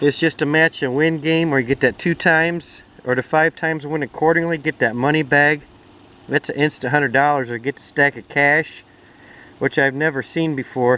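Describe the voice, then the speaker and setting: Here a man talks at a moderate pace with fairly even intonation. The sound is dry with no echo, and light background noise sits underneath. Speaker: lottery ticket vlogger. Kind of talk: casual vlog chat. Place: garden. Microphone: phone near.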